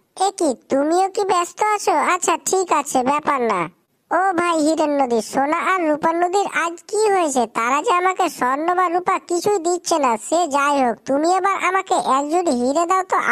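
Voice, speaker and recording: A cartoonish character voice that sounds female, pitched extremely high. She speaks at a moderate pace. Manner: impatient.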